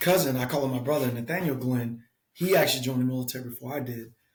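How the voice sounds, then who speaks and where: A man speaks at a very fast pace with an American accent. His fairly high voice sounds somewhat breathy. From US South, south Georgia. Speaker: military veteran. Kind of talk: casual interview.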